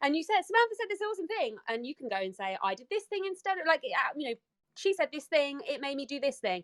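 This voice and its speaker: A woman races along at a very fast pace, high-pitched and animated, her voice making very wide pitch swings in a dry, close sound with no echo. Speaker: entrepreneur. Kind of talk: casual chat. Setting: audio chat room.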